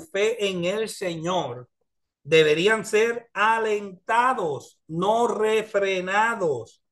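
Pitch varies in an ordinary way. The background stays quiet. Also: man. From US, New York (Spanish Harlem); New York. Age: 50s. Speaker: pastor and teacher; pastor, teacher. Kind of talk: bible study class. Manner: hesitant with filler sounds. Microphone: video call.

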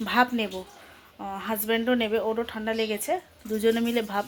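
Over noticeable background noise, a soft-spoken woman talks at a fairly high pitch in a monotone, flat intonation. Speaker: vlogger, housewife. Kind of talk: casual vlog narration. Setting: at home.

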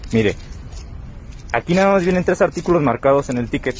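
A man talks at a fairly quick pace with lively intonation. His pitch sits fairly high.

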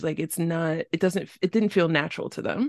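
A woman with a New York accent, fairly low in pitch with ordinary pitch variation, in a dry, close sound with no echo and a quiet background. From New York City. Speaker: podcast host. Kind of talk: casual interview.

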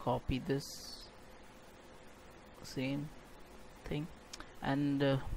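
This man's voice is fairly high-pitched, with a monotone, flat intonation. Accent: non-native. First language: not English. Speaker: game development tutorial creator. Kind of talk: software tutorial narration.

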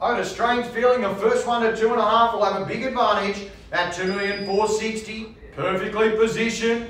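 Audible room echo surrounds a man speaking fast-ish, at a fairly quick pace, in a high pitch. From Australia. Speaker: property auctioneer. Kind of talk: live property auction call. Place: studio.

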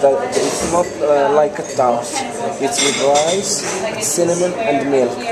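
Loud background noise surrounds this recording of a man. He speaks at a fairly slow pace. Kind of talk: explaining food to visitors, casual. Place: cafe. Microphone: camera far.

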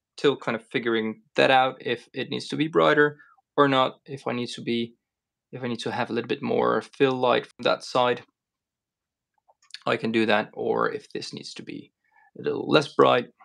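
The background is quiet as a man speaks at a moderate pace, leaving long, frequent pauses. His loudness swings a lot. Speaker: paint maker streamer. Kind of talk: casual live stream chat.

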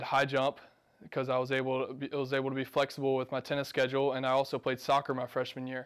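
A very fast, monotone, flat-sounding man with an American accent against a quiet background. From Georgia, US South (Macon); Georgia. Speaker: college tennis player. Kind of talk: interview; interview answer. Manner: casual with frequent fillers. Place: office.

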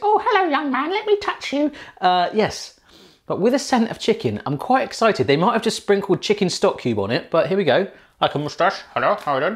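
Against a quiet background, a man with a high pitch speaks at a fairly quick pace, his pitch swinging very widely. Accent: English. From England. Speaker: YouTube cooking channel host; food vlogger. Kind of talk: casual taste-test video. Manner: animated. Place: kitchen. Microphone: new microphone, less echoey; lapel.

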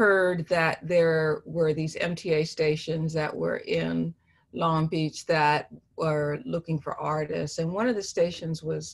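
Against a quiet background, a woman speaks very slowly in a fairly low, somewhat breathy voice with fairly even intonation. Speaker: interviewee. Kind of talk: interview answer. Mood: calm, reflective. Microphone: video call.

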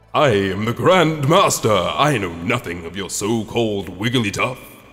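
This man is using a put-on character voice. Some faint music can be heard behind him. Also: medium pitch for a man, moderate pace. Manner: put-on disguised voice.

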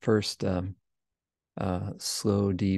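Soft-spoken and calm in tone, a man with a very deep, low pitch and a dark, mellow tone speaks with fairly even intonation in a dry sound with no echo against a quiet background. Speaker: podcast host and meditation teacher. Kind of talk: guided meditation with screen-share explanation. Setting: livestream screen share, self-recorded. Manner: calm, slow, soft-spoken; instructive, measured, explanatory. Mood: calm, gentle. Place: home room.

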